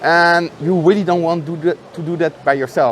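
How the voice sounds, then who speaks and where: A man speaks at a moderate pace in a high voice, with noticeable noise in the background. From France and Netherlands, half French half Dutch. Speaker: software developer. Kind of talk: conference interview. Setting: conference venue. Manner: animated.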